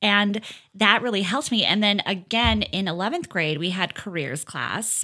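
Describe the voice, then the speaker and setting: With a Minnesota accent, a woman speaks at a moderate pace in a bright, sharp tone of medium pitch with ordinary pitch variation, on a very clean recording with a silent background. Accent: Upper Midwest (Minnesota). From rural Minnesota, Fergus Falls. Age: 30s. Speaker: hair salon owner. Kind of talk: casual chat. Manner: animated.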